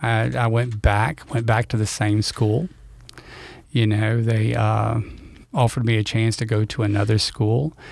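A man with a Louisiana accent, fairly even in intonation, at a fairly slow pace. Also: medium pitch for a man. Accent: Louisiana Southern US. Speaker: retired school principal. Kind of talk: casual interview chat. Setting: studio.

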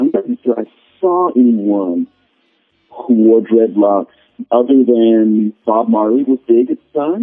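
Using an ordinary speaking voice, a man talks at a fairly slow pace with a medium pitch and ordinary pitch variation. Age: 50s. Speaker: literature professor. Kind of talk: interview.

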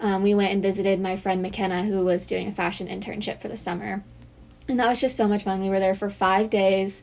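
In a monotone, flat delivery, a woman talks fairly quickly at a medium pitch. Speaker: college podcast co-host. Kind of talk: casual chat.

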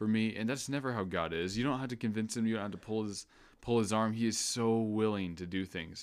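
With an American accent, a man speaks in a normal speaking voice at a fairly low pitch with fairly even intonation, in a very clean recording with a silent background. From US Midwest. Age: 20s. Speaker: Bible college student. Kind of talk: casual chat.

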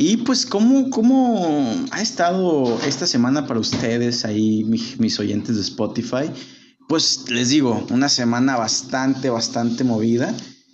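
A man with a Jalisco accent speaks at a fairly slow pace and medium pitch. Room echo is audible. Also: lively intonation. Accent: Mexican Spanish, Jalisco. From Mexico, Guadalajara. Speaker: podcast host. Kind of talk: casual chat. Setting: live stream.

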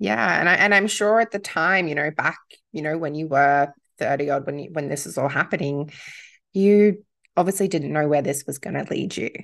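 Very deep, low pitch from a woman with an Australian accent, ordinary pitch variation and a moderate pace against a quiet background. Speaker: podcast host. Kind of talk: casual interview chat.

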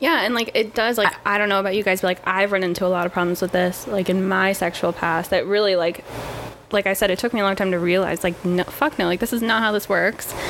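The woman talks very fast at a medium pitch, with very even loudness. Her intonation stays fairly even against noticeable background noise. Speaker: podcast guest. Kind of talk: casual chat.

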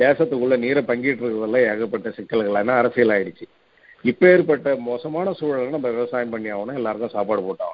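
A man speaks in a normal speaking voice at a medium pitch, with ordinary pitch variation. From Tamil Nadu, Cuddalore district village. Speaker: agriculture professor. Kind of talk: interview. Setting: radio interview.

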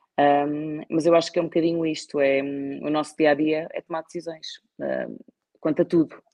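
Speaking at a moderate pace, a woman with a very deep, low pitch keeps a monotone, flat intonation while her loudness swings widely. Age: 30s. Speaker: wine distribution executive. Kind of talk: interview. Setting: live stream.

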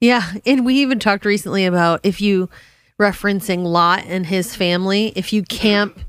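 Very clean and set against a silent background, this recording features a woman at medium pitch. She has an unremarkable speaking voice, a moderate pace and ordinary pitch variation. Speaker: Bible podcast co-host. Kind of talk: casual Bible discussion.

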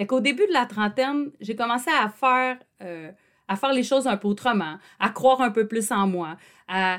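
A woman with a Quebec accent, high pitch and an animated tone. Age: 40s. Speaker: podcast host and psychoeducator. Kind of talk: personal monologue.

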